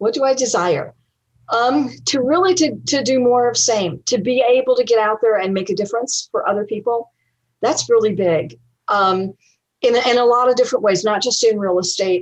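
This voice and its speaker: A woman speaks with an American accent at a fairly high pitch. Her pace is moderate and her pitch variation ordinary. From US South. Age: 60s. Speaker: real estate investor. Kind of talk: interview. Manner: hesitant, many fillers.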